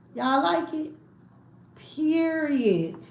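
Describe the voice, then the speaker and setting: Over noticeable background noise and audible room echo, a woman with an American accent speaks with lively intonation. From Washington DC. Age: 40s. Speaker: food YouTuber. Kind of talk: casual mukbang livestream chat. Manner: animated.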